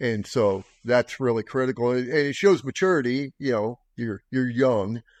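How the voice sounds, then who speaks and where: Speaking at a fairly slow pace with hardly any pauses, a man has an ordinary speaking voice of medium pitch and ordinary pitch variation, recorded with a dry, close sound, no echo and a quiet background. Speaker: podcast host, military veteran. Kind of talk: casual conversation.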